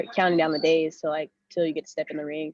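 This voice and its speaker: In an American accent, a woman speaks with a fairly low pitch and monotone, flat intonation at a fairly quick pace, in a dry, close sound with no echo. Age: 20s. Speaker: Muay Thai fighter. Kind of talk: podcast interview. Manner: casual, many fillers.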